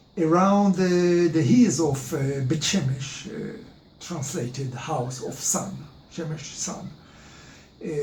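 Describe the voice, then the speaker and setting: Very slow speech with long, frequent pauses and ordinary pitch variation, amid noticeable background noise and audible room echo. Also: man, fairly high pitch for a man. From Israel. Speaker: history presenter. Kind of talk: lecture. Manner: halting, many filler sounds.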